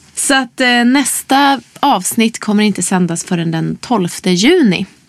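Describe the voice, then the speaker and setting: A woman's fairly high voice at a very slow pace. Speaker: podcast host. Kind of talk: casual interview chat. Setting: studio.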